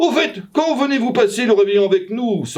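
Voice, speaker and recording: A man puts on a character voice at an extremely high pitch. He speaks at a moderate pace. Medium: read story.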